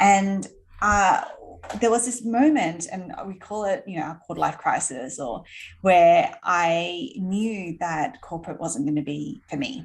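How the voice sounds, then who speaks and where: Very slowly and with lively intonation, a woman speaks at a medium pitch in an Australian accent. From Australia, Sydney. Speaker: entrepreneur. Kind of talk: interview.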